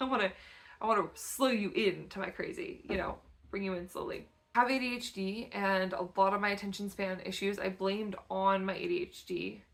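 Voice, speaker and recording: Speaking at a fairly quick pace, a woman uses an unremarkable speaking voice. Her medium pitch stays fairly even in intonation. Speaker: photographer and artist. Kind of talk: casual vlog talk to camera.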